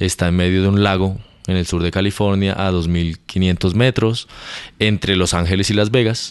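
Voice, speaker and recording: This man's voice sits at a very deep, low pitch, delivered in a monotone, flat intonation. He keeps a moderate pace. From Colombia, Bogotá. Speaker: astrophysicist. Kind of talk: casual interview. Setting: in person at university.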